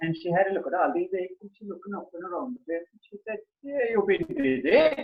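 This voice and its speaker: Lively in intonation, a man with an Irish accent speaks at a high pitch. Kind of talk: storytelling, folk tale told to an audience. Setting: online video call. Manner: casual, chatty.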